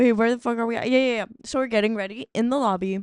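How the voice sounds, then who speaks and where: The woman's fairly high voice has a monotone, flat intonation. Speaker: podcast co-host. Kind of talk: casual chat. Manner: fast.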